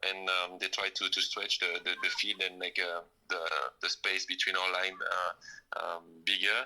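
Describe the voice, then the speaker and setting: Noticeable noise fills the background. The man's delivery is moderately paced. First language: not English. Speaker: professional footballer. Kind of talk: interview. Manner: halting.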